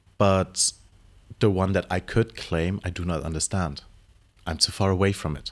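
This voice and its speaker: Pausing long and often, a man with a very deep, low pitch speaks at a moderate pace with fairly even intonation on a very clean recording with a silent background. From Europe, Brazilian-Danish family. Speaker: drag performer. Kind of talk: interview.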